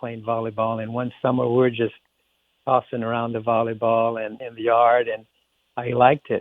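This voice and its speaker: Monotone and flat in intonation, a man speaks at medium pitch. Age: 60s. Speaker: former college athlete and business leader. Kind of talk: interview conversation.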